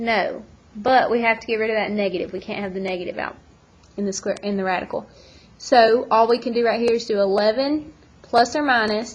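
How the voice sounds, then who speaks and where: Fairly high-pitched woman's voice, fairly even intonation and a fairly quick pace. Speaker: math teacher. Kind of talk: tutorial. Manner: fast.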